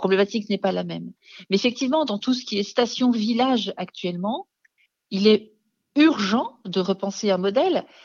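A woman in an ordinary speaking voice, fairly high-pitched, at a moderate pace, with ordinary pitch variation and big swings in loudness. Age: 50s. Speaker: founder of a mountain resilience organization. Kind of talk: radio interview.

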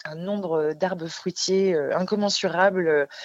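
Her pitch medium, a woman speaks at a fairly slow pace with fairly even intonation. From France, Alsace. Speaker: holistic therapist. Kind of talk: radio interview. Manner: halting, many repetitions and hesitations.

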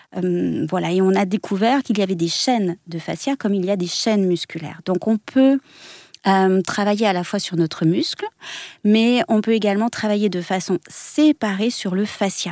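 A woman at a moderate pace, medium pitch with ordinary pitch variation, in a dry, close sound with no echo. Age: 40s. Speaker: body method teacher and former dance teacher. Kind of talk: radio interview. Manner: halting.

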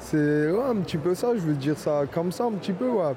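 Noticeable background noise is heard while a man talks. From Paris suburbs, Fontenay-sous-Bois (Val-de-Marne). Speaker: pastry chef. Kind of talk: interview. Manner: hesitant, repetitive.

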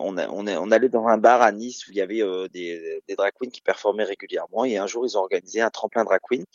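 There are big swings in loudness. The man speaks at a moderate pace. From Normandy, France (Caen). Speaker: drag queen. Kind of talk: radio interview.

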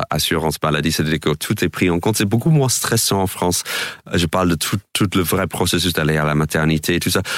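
Over noticeable background noise, a man with an American accent talks at a moderate pace in a very deep, low voice. His loudness is very even and his intonation fairly even. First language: English (speaking French). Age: 40s. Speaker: comedian. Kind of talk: radio interview. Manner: halting.

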